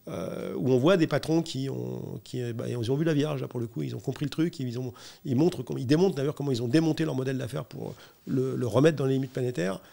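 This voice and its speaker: Talking very fast, a man with a dark, mellow tone and medium pitch uses ordinary pitch variation on a very clean recording with a silent background. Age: 60s. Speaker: corporate sustainability director. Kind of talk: interview. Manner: hesitant, many fillers.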